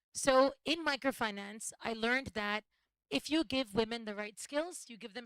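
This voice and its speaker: A woman with an American accent has a plain, everyday voice, pitched fairly high with ordinary pitch variation. The sound is dry and close, with no echo. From United States. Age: 40s. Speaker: social entrepreneur. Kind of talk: panel talk at live event.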